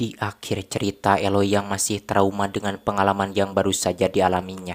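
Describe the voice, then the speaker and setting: A man's fairly low voice, monotone and flat in intonation. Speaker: film recap narrator. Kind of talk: film recap narration.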